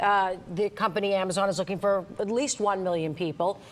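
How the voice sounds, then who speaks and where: Here a woman has an unremarkable speaking voice at a medium pitch. She talks at a fairly quick pace. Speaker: business reporter. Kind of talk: local TV news business segment, conversational with anchor.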